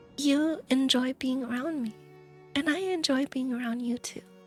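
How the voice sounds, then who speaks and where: A woman's high voice at a very slow pace, ordinary pitch variation, with music in the background. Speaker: VTuber streamer. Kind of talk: casual talk to stream audience.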